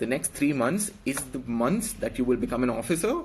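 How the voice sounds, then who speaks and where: A man with an Indian accent talks at a fairly quick pace. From India, Karnataka (Bangalore). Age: 20s. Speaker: police officer giving exam advice. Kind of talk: live stream exam advice. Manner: hesitant, many fillers.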